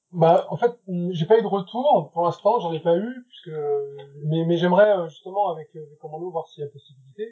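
A man with a high pitch speaks at a moderate pace. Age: 40s. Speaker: illustrator. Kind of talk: interview. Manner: halting.

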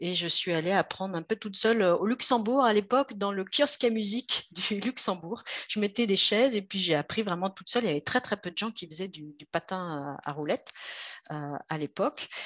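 A woman with an ordinary speaking voice and lively intonation. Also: medium pitch for a woman, big swings in loudness, quiet background. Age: 50s. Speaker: roller skater and magazine founder. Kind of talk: interview.

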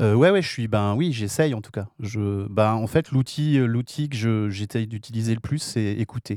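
A man with a dark, mellow tone speaks at a fairly slow pace and medium pitch, with ordinary pitch variation, on a very clean recording against a silent background. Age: 60s. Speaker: audio creator. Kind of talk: radio discussion.

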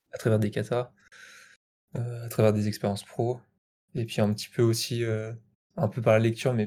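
A man speaks at a fairly quick pace with medium pitch, a dark, mellow tone, a somewhat breathy quality and monotone, flat intonation, leaving long, frequent pauses in a very clean recording with a silent background. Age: 20s. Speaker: software developer. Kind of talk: casual interview. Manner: hesitant, many fillers.

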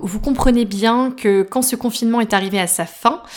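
This woman has an unremarkable speaking voice pitched fairly high. She talks at a fairly slow pace with fairly even intonation. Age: 30s. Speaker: podcast host. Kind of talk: personal storytelling.

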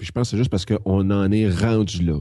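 Speaking with a Quebec accent, a man uses a fairly low, dark, mellow voice at a fairly quick pace over a quiet background. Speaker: web entrepreneur and business consultant. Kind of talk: casual chat.

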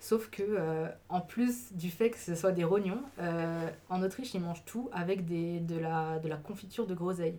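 The delivery is fairly slow with fairly even intonation, set against noticeable background noise. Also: woman. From Alsace, Mulhouse. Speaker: student. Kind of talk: casual chat. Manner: hesitant.

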